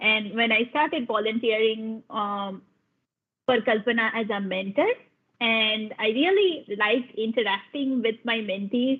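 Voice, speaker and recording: With a Bengali accent, a woman speaks fairly slowly at a fairly high pitch, using ordinary pitch variation. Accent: Indian English, Bengali. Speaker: science program lead. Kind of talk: panel talk, personal story. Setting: video call webinar. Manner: halting, many fillers.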